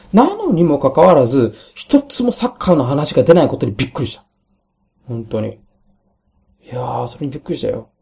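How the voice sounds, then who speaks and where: A man talks at a fairly quick pace in a fairly high pitch, broken by long, frequent pauses. His pitch swings very widely and his loudness shifts a great deal. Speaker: solo podcaster. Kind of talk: casual monologue. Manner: halting, many fillers.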